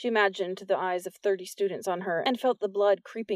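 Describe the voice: Simple, plain reading aloud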